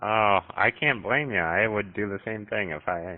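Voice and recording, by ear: A man speaks with a fairly low pitch and ordinary pitch variation. His pace is moderate.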